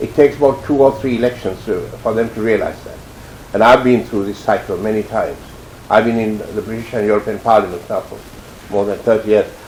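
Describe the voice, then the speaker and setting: Over noticeable background noise, a man at medium pitch keeps a fairly even intonation while his loudness swings widely. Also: fairly quick pace. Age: 70s. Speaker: former politician. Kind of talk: interview.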